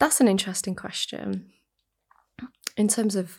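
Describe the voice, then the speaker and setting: Soft-spoken and calm in tone, a woman talks at a fairly quick pace with a British accent. The recording is very clean, with a silent background. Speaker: counsellor. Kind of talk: interview, calm conversation. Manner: calm, soft-spoken, counselling tone.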